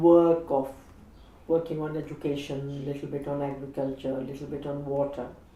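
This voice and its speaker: The voice has a dark, mellow tone and moves at a moderate pace, with audible room echo around it. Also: woman. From India. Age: 60s. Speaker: feminist activist. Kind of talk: interview reflection.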